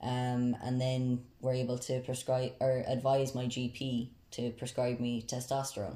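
A man speaks in a Tipperary accent at a medium pitch. His pace is fairly slow. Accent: Irish, Tipperary. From South Tipperary, Ireland. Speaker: university student. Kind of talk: casual interview.

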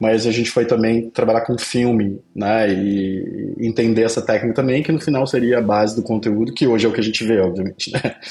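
This is a normal speaking voice from a man at medium pitch, moving at a fairly quick pace with hardly any pauses. His loudness stays very even and his intonation fairly even. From southern Brazil, Pelotas, Rio Grande do Sul. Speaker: agency CEO and entrepreneur. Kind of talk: casual interview.

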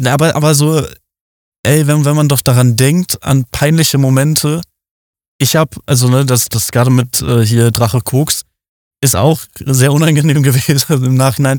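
Long, frequent pauses break up moderate-paced speech with fairly even intonation and very even loudness in a dry, close sound with no echo. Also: man, fairly high pitch for a man. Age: 20s. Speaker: podcast host. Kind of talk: casual chat. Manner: halting.

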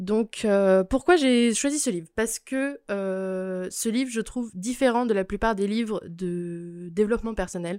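An ordinary speaking voice, a woman's at medium pitch, moves at a fairly slow pace with hardly any pauses and ordinary pitch variation, recorded dry and close with no echo on a very clean recording with a silent background. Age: 20s. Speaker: podcast guest, cultural recommendations. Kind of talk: casual chat.

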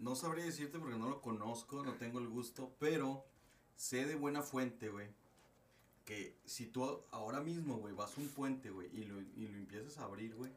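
The pace is moderate, with ordinary pitch variation. Some room echo can be heard. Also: man. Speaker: podcast co-host. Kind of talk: casual chat.

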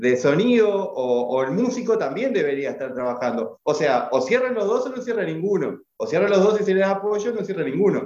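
At a moderate pace, the voice makes very wide pitch swings. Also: man. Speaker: podcast host. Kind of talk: casual chat. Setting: video call.

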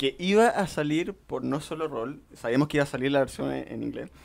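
On a very clean recording with a silent background, a man with an unremarkable speaking voice talks at a fairly quick pace and a fairly high pitch. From Chile, Coquimbo. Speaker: role-playing game distributor. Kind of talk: casual chat.

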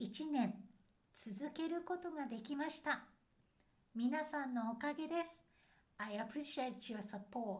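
A woman with a Japanese accent talks at a moderate pace in a high pitch, her intonation lively and broken by long, frequent pauses. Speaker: language teacher podcaster. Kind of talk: podcast monologue, language lesson.

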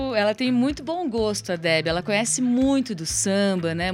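The speaker uses lively intonation at a moderate pace. There is noticeable background noise. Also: woman. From Curitiba, Brazil. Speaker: singer and songwriter. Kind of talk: live radio interview. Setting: radio studio.

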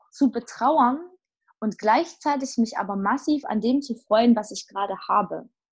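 At a moderate pace, a woman with an unremarkable speaking voice and a fairly high pitch speaks with lively intonation over a quiet background. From Saxony, Erzgebirge. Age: 30s. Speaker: theologian and actress. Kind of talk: casual chat.

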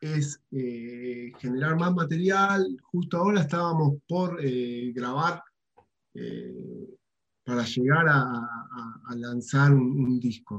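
With an Argentine accent, a man speaks at a very slow pace, somewhat breathy, with lively intonation. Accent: Rioplatense Argentine Spanish. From Argentina, Buenos Aires. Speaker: rock guitarist. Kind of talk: interview. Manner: hesitant, many fillers.

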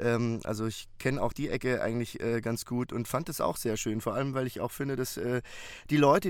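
A plain, everyday voice with fairly even intonation, moving at a moderate pace. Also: man. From Bavaria, Munich. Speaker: audiobook narrator. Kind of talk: casual chat. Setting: remote call.

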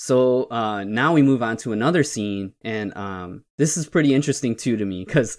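A man with an ordinary speaking voice, medium pitch and ordinary pitch variation at a moderate pace, on a very clean recording with a silent background. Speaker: podcast host. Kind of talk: casual podcast discussion of films. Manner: casual, conversational, laughs often.

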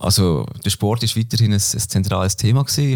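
This man's voice is medium in pitch and somewhat breathy. His pitch varies in an ordinary way. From Switzerland, Basel-Land. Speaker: former cyclist and business student. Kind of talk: interview. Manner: hesitant, many fillers.

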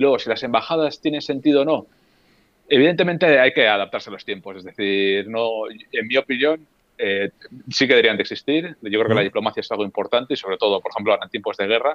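Talking at a very fast pace, a man with a medium pitch shows lively intonation and big swings in loudness. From Basque Country, Spain (Getxo near Bilbao). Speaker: former embassy worker, guitarist and youtuber. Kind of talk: casual chat.

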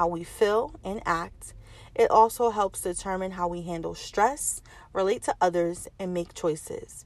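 Using an unremarkable speaking voice, a woman speaks at a medium pitch and moderate pace with ordinary pitch variation. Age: 30s. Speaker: podcast host. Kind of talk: personal monologue.

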